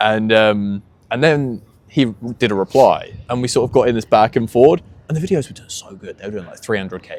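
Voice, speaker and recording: Loudness swings a lot in a man's unremarkable speaking voice. His medium pitch shows ordinary variation. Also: fairly quick pace. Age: 20s. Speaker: podcast host. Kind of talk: casual podcast interview.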